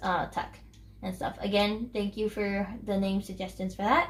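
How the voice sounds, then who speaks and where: Her voice has a medium pitch and is somewhat breathy. The woman speaks at a moderate pace. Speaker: gaming YouTuber. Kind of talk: casual gameplay commentary. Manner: hesitant, many fillers.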